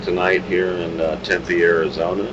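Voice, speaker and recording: Over noticeable background noise, a man talks at a fairly slow pace. His pitch is very deep and low. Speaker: rock singer and bandleader. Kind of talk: casual interview. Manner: loud.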